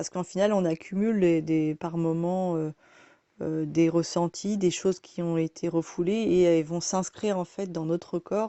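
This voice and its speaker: Her pitch is fairly low for a woman. The woman's intonation is fairly even. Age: 30s. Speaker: massage therapist. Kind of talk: self-introduction monologue. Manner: halting, many hesitations.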